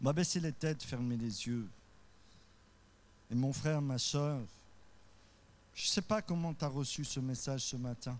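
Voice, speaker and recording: Pausing long and often, a man talks at a fairly slow pace in a fairly high pitch with ordinary pitch variation and audible room echo. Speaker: pastor. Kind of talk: sermon. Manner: voice rises high when carried away; occasionally stumbling.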